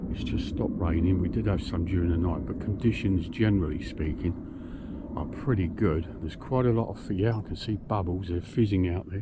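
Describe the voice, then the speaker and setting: This man's pitch is very deep and low, moving with ordinary variation at a fairly quick pace. Audible room echo surrounds his voice. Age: 60s. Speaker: fishing vlogger. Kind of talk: casual vlog talk to camera. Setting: outdoors by a lake. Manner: cheerful, chatty.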